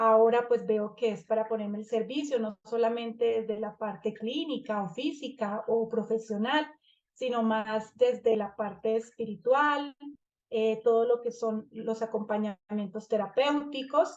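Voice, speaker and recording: A woman speaks at a fairly high pitch in a Colombian accent. Her pace is fairly slow and her intonation fairly even. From Colombia, Bucaramanga. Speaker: family constellation therapist and trainer. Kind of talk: online master class presentation. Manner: halting, many fillers.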